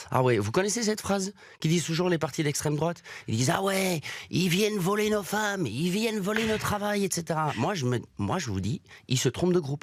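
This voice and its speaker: A man with a Brussels accent speaks in a high voice with lively intonation. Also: fairly quick pace. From Belgium, Brussels. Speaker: comedian. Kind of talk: stand-up.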